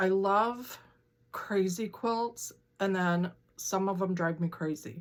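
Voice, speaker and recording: Speaking at a very slow pace, a woman with a medium pitch shows ordinary pitch variation. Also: very even loudness. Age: 60s. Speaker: quilting and stitching vlogger. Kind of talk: casual chat. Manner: chatty, with many fillers and restarts.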